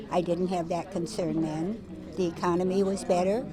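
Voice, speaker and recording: A woman's fairly low voice at a moderate pace with fairly even intonation, plus audible room echo and noticeable background noise. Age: 80s+. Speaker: voter. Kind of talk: interview.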